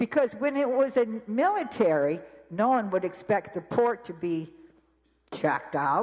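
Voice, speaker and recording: At a fairly high pitch, a woman speaks at a fairly slow pace. Her pitch swings very widely. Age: 70s. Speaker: public commenter. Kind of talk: public comment at town meeting. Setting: town council meeting. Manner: animated.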